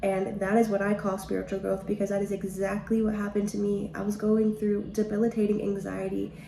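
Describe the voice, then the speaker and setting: Over noticeable background noise, a woman talks at a fairly quick pace with hardly any pauses. Her medium-pitched voice stays monotone and flat. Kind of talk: devotional podcast talk. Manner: fast; casual, chatty.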